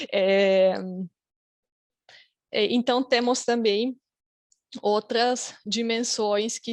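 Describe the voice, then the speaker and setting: Against a quiet background with a dry, close sound and no echo, a woman speaks at a very slow pace with a fairly high pitch and fairly even intonation. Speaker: academic researcher, conference panelist. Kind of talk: conference presentation. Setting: online conference, video call. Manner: hesitant, many fillers.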